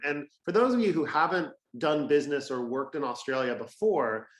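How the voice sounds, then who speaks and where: A man with an American accent and an ordinary speaking voice talks at a fairly high pitch with ordinary pitch variation. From California, US. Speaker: fintech industry representative. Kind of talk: webinar presentation.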